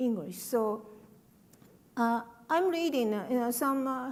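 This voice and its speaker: A woman's high-pitched voice with a Japanese accent, ordinary pitch variation and a moderate pace. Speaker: writer. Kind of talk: panel talk.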